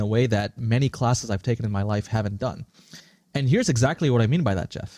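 Recorded very cleanly with a silent background and a dry, close sound with no echo, a man speaks at a medium pitch with a dark, mellow tone. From India and Singapore. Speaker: startup founder and CEO. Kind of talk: interview. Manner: articulate and forceful.

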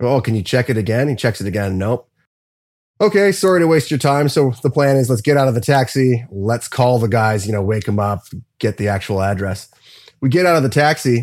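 A plain, everyday voice with lively intonation. The recording is very clean, with a silent background. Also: man, medium pitch for a man. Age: 30s. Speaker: metal drummer. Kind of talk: casual chat.

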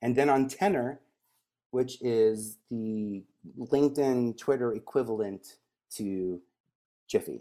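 A man with an American accent, a medium pitch and a dark, mellow tone, at a very slow pace with long, frequent pauses. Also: ordinary pitch variation. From New York, Staten Island. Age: 40s. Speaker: media advisor. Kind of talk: interview.

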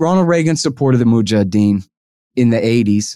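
A man speaks with a Texas accent at a moderate pace. His tone is dark and mellow. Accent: Texas snark. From Texas, Austin. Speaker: foreign policy writer and libertarian commentator. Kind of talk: interview. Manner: animated.

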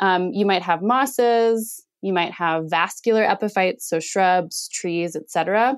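This woman has an unremarkable speaking voice at a medium pitch, with ordinary pitch variation and a fairly slow pace with hardly any pauses. The recording is very clean, with a silent background. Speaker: ecologist and PhD candidate. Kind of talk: interview about research.

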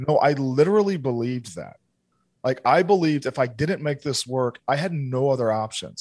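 The man has an unremarkable speaking voice at a medium pitch, with lively intonation. He keeps a moderate pace against a quiet background. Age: 30s. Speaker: entrepreneur and business consultant. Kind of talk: casual chat.

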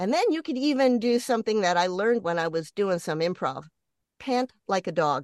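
A medium-pitched woman at a fairly quick pace, with very wide pitch swings. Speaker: voice, film and TV actress and on-camera coach. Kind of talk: interview.

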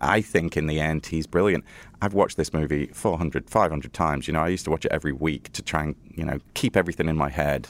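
In a very clean recording with a silent background and a dry, close sound with no echo, a man speaks with a very deep, low pitch, vocal fry and fairly even intonation. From Liverpool, England. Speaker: film director and writer. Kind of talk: interview.

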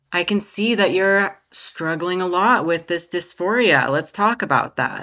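A woman speaks at a fairly slow pace in a fairly low voice with ordinary pitch variation. The recording is very clean, with a silent background. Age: 20s. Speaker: detransitioner sharing her story. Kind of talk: interview.

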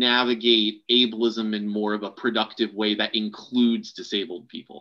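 A man speaks in a normal speaking voice at medium pitch with fairly even intonation. He leaves hardly any pauses. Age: 30s. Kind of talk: casual chat.

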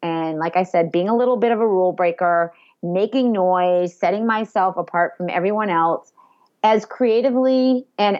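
With an American accent, a woman speaks at a moderate pace in an energetic tone. Her medium pitch shows ordinary variation. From Massachusetts, Boston area (Andover). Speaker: social media marketing expert and entrepreneur. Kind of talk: interview.

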